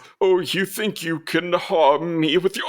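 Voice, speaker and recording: Fairly slow pacing in a put-on character voice. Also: man, high pitch for a man. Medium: actual play.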